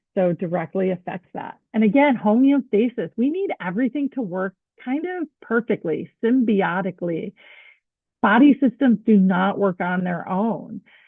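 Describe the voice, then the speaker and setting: A woman speaks in an ordinary speaking voice at a fairly high pitch. Her pace is moderate and her intonation lively. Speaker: dental hygiene instructor. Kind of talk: lecture.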